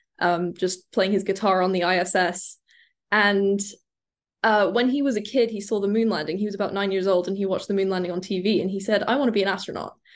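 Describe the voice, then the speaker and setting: A woman talks at a very fast pace. Her medium-pitched voice keeps fairly even intonation. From UK. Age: 20s. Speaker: recent astrophysics and English graduate. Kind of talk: interview.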